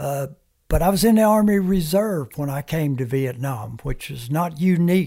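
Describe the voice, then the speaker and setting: In a very clean recording with a silent background, a man speaks at a moderate pace with lively intonation. His fairly high, somewhat breathy voice has a dark, mellow tone. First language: Comanche. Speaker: war veteran. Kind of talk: interview storytelling. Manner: halting.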